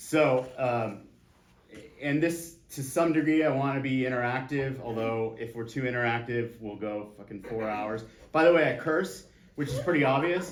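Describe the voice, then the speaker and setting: A medium-pitched man with an American accent, with audible room echo. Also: ordinary pitch variation, moderate pace. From San Diego, California. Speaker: real estate agent teaching a class. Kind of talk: class lecture with audience interaction. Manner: casual, animated, curses freely.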